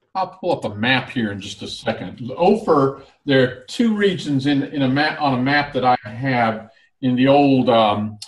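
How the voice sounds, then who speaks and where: This man talks at a fairly slow pace, his pitch medium and its variation ordinary. He has a plain, everyday voice. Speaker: Bible teacher co-host. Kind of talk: casual online Bible discussion.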